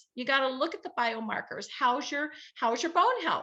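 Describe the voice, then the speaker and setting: Speaking in an American accent, a woman uses a raised, projected voice with a bright, sharp, animated tone. Her pitch is high and swings very widely, while her pace stays moderate. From Southern California. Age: 60s. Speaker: health advocate, nonprofit founder. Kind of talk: interview testimony.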